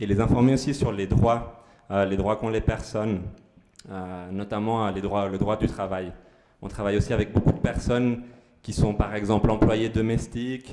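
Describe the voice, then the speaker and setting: In a Spanish accent, a man speaks at a moderate pace with a dark, mellow tone, a fairly low pitch and a monotone, flat intonation. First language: Spanish (speaking French). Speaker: aid organisation worker. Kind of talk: community presentation. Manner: halting, many fillers.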